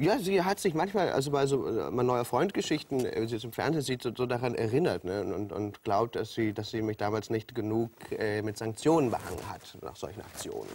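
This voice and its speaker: At a fairly quick pace, a man talks in a medium pitch with lively intonation. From Hamburg. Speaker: TV presenter and comedian. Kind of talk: talk show interview answer. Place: studio. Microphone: lapel.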